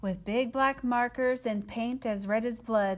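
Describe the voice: What you hear is plain reading aloud.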